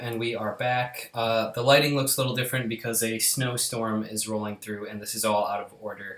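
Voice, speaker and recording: Against noticeable background noise, a man with a medium pitch talks at a moderate pace with hardly any pauses, fairly even intonation, and big swings in loudness. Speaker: YouTuber sharing personal health journey. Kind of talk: casual vlog.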